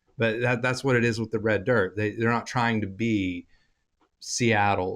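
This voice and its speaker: Against a quiet background, a man with an Oklahoma accent speaks at a fairly low pitch with fairly even intonation. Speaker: podcast host. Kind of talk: casual interview chat.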